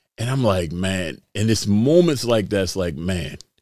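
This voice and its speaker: At a moderate pace, a man with an American accent and fairly low pitch uses lively intonation in a very clean recording with a silent background. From Baltimore, Maryland. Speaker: former mayoral candidate and police spokesman. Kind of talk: casual interview.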